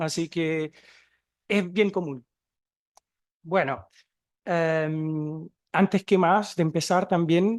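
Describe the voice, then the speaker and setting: Against a quiet background, a man with a Chilean accent speaks at a very slow pace in a high pitch, with fairly even intonation. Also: dry, close sound with no echo. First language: Portuguese (speaking Spanish). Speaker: museum researcher and archaeologist. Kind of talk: conference talk.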